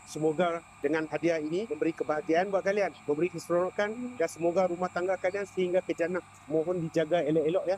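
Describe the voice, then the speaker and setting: A high-pitched man with a Malaysian accent at a very fast pace, fairly even intonation and very even loudness, in a dry, close sound with no echo and noticeable background noise. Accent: Malaysian Malay accent speaking Indonesian. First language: Malay (speaking Indonesian). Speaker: content creator giving gifts. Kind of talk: casual street interview. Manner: warm, gentle.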